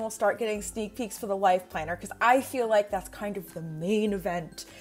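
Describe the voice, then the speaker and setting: With faint music in the background, a woman talks at a moderate pace. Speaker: planner vlogger. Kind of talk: casual vlog chat. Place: home room. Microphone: earbuds.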